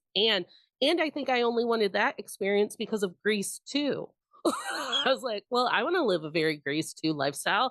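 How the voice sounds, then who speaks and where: In an American accent, a woman talks at a moderate pace with an animated tone, fairly high pitch, very wide pitch swings and vocal fry. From Indiana, US Midwest. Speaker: podcast host. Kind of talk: casual chat.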